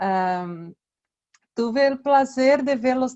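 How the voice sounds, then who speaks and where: This is a woman's voice. She has a Brazilian accent. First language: Portuguese (speaking Spanish). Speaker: researcher. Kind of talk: lecture.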